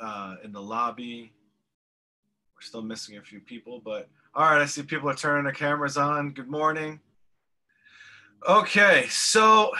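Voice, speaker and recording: With a bright, sharp tone, a man moves at a moderate pace through very wide pitch swings and long, frequent pauses. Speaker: college instructor. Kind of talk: class announcements to students. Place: home room. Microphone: video call.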